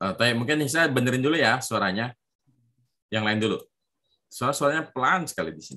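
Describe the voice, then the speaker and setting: A man of medium pitch talks at a very fast pace with a bright, sharp tone, lively intonation, vocal fry and big swings in loudness. Long, frequent pauses break up his speech against a quiet background. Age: 30s. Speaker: Arabic teacher for children. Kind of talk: online language lesson. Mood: encouraging, praising. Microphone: video call.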